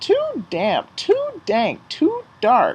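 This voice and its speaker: Squeaky and put-on, this man's character voice reaches an extremely high pitch. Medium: read story.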